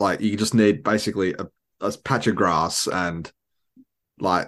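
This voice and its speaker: Speaking at a moderate pace with ordinary pitch variation, a man with an Australian accent is heard against a quiet background. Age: 20s. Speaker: podcast host. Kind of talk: casual chat.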